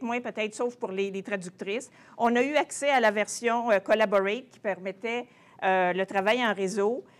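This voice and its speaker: A woman's fairly high voice comes through on a very clean recording with a silent background. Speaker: translation professor. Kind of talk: conference presentation. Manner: halting.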